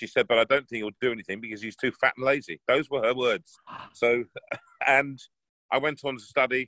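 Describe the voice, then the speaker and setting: Bright and sharp in tone, this voice with an English accent moves at a fairly quick pace, with big swings in loudness. Long pauses come often. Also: man, medium pitch for a man, fairly even intonation, dry, close sound with no echo. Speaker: bass baritone opera singer. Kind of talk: interview answer. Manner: casual, anecdotal.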